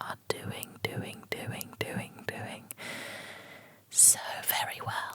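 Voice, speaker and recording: Someone whispers over noticeable background noise. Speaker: book reviewer. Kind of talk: ASMR book review. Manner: whispered, soft-spoken.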